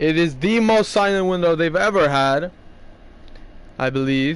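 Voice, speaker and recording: This man's voice sits fairly high in pitch, with ordinary variation. He speaks at a fairly slow pace. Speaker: gaming youtuber. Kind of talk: football predictions commentary. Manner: loud.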